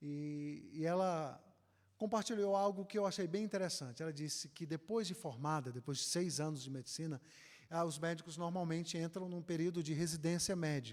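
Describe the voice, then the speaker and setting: A man talks at a moderate pace with a northeastern Brazilian accent, his voice high in pitch with ordinary variation. The recording is very clean, with a silent background. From Northeast Brazil, Ceará. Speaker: pastor. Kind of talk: conference lecture.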